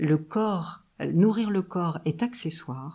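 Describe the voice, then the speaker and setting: In a very clean recording with a silent background, a woman speaks very slowly in a dark, mellow tone with ordinary pitch variation. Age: 50s. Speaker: acupuncturist, traditional Chinese medicine therapist. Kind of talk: interview, casual conversation. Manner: hesitant, many fillers.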